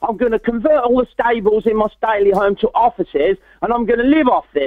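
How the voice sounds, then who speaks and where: A man's extremely high pitch with lively intonation. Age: 60s. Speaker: motivational speaker. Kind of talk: interview testimony. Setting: webinar.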